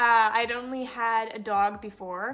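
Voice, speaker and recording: The speaker is a woman whose voice sits at a high pitch. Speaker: pet YouTuber. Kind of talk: casual vlog talk. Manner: stutters at times.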